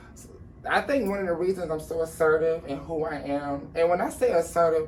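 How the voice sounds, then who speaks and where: A woman's fairly low-pitched voice at a fairly quick pace, with ordinary pitch variation and noticeable background noise. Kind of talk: interview. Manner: casual, conversational.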